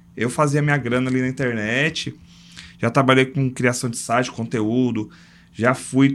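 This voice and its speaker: This is a man with an ordinary speaking voice, pitched in the medium range. He talks at a fairly slow pace with fairly even intonation. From São Paulo, Brazil. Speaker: logistics entrepreneur. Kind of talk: casual interview chat.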